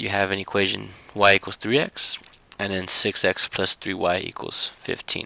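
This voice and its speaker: Noticeable background noise sits behind a man's fairly low voice, recorded dry and close with no echo, his intonation fairly even. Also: moderate pace. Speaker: math teacher. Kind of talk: tutorial.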